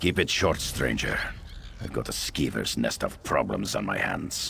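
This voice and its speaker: A man uses a put-on character voice. He goes at a moderate pace over clear background noise. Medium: video game. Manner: curt.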